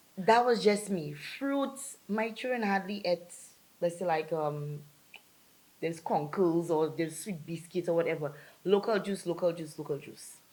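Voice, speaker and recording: A woman's fairly low voice with lively intonation at a moderate pace, noticeable background noise behind it. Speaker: single mother. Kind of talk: casual chat. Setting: host's home.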